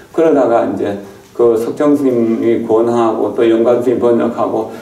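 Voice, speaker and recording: A man speaks at a moderate pace and a medium pitch. Noticeable background noise and audible room echo come through. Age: 70s. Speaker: Buddhist monk, temple abbot. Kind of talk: dharma talk. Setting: temple hall. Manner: halting, with fillers.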